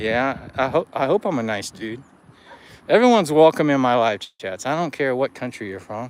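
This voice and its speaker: Here is a man with an ordinary speaking voice at a medium pitch. He talks at a moderate pace with lively intonation. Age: 50s. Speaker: running vlogger doing a live stream. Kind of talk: casual live-stream chat with viewers.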